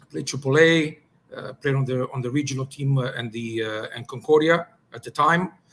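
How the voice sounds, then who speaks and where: With a Greek accent, a man speaks at a moderate pace with ordinary pitch variation. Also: fairly high pitch for a man, big swings in loudness. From Greece, moved to Montreal at ten. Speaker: soccer technical director, former pro player. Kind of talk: podcast interview. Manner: hesitant, many fillers.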